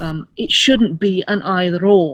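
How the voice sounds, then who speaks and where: Using a British accent, a woman speaks fairly slowly at a medium pitch with ordinary pitch variation. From England, first-generation immigrant from Asia. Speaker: actor, writer and activist. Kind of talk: interview. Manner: hesitant, many repetitions.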